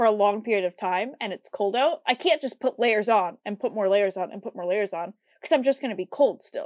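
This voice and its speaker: A woman with an American accent and an unremarkable speaking voice, fairly high in pitch, with lively intonation at a moderate pace, in a dry, close sound with no echo. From US Midwest. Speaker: podcast co-host. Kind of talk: casual chat.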